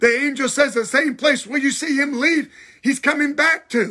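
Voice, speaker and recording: A man's raised, projected voice at an extremely high pitch, animated and bright and sharp in tone, with ordinary pitch variation, a moderate pace and a quiet background. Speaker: pastor. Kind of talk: livestream bible teaching. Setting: live video stream. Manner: animated, repetitive preaching. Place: home room. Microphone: phone near.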